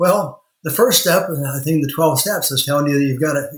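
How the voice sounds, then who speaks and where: With a Midwestern US accent, a man talks at a fairly quick pace in a fairly high, somewhat breathy voice with ordinary pitch variation. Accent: US Midwest. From rural Indiana. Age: 60s. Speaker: lawyer and law firm owner. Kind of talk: interview.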